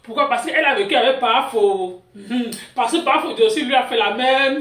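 A fairly quick pace with audible room echo. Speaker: gossip channel host. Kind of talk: gossip news commentary. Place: home room. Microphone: phone near.

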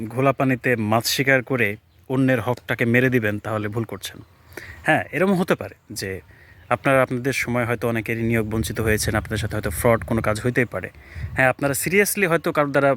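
Recorded with a dry, close sound and no echo, a man has a normal speaking voice of medium pitch with ordinary pitch variation. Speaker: YouTuber. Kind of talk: opinion vlog monologue.

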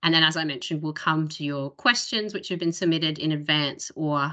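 The background is quiet. A woman with a very deep, low voice speaks in a bright, sharp tone. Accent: Australian. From Australia. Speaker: webinar host. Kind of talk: webinar presentation. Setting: video call. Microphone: video call.

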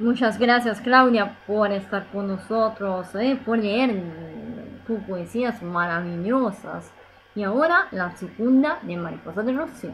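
Noticeable background noise sits behind a woman speaking at a very slow pace with an Italian accent. Her pitch is fairly high, with ordinary pitch variation. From Italy. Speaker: radio host. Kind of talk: radio show hosting, casual chat.

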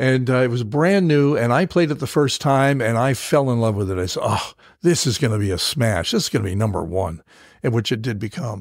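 On a very clean recording with a silent background, a man with an ordinary speaking voice and medium pitch talks at a fairly quick pace with lively intonation. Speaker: veteran radio broadcaster and podcast host. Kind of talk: interview answer, storytelling.

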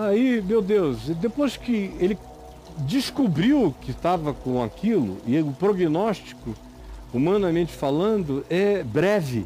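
Over faint music in the background, a man talks at a very slow pace. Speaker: preacher giving a talk. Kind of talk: interview answer. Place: studio.

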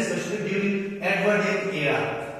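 Strong room echo surrounds a man whose voice sits high in pitch. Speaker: teacher. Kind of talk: lecture. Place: classroom.

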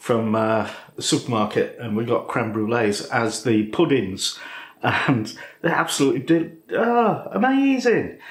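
Audible room echo surrounds a man who talks very slowly. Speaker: cooking channel host. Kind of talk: casual vlog chat. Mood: jovial, chatty. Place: kitchen.

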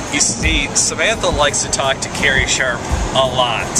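A man's voice, dry with no echo, over background music. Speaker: pastor filming a road trip. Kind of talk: casual vlog chat. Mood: joking, playful. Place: car. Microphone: phone near.

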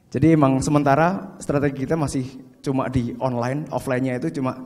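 A man talking very fast, with ordinary pitch variation. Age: 30s. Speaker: fashion business owner. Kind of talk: seminar talk. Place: hall. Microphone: handheld.

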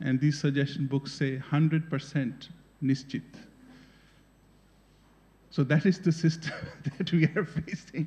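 At a very slow pace, a man speaks in a monotone, flat intonation with a dark, mellow tone and a somewhat breathy quality. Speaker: conference panelist. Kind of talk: talk to an audience. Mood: amused, engaged. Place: hall. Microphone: podium.

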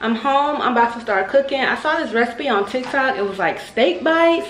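The speech moves at a moderate pace. Audible room echo and light background noise come through. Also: woman. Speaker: mom vlogger. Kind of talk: casual vlog chat. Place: kitchen. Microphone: phone near.

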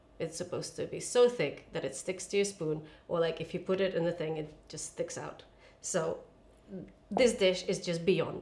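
A woman talks at a moderate pace with a fairly low pitch. She has an unremarkable speaking voice. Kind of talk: cooking tutorial chat. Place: kitchen.

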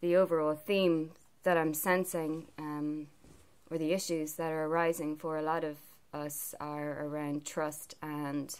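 Fairly slow delivery with monotone, flat intonation. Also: woman. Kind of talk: casual vlog chat. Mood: calm, reflective. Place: home room. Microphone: phone near.

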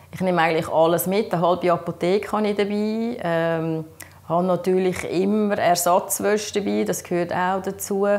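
The speaker has a Swiss accent and fairly even intonation. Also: woman, moderate pace. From German-speaking Switzerland. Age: 50s. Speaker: patient sharing experience; interviewee. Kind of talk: interview testimony. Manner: halting, many fillers. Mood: calm, earnest. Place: home room.

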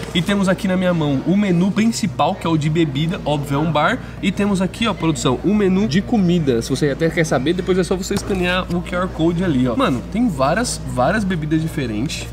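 Clear music plays behind a man. He talks at a fairly quick pace with hardly any pauses. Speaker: food vlogger. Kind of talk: casual vlog chat.

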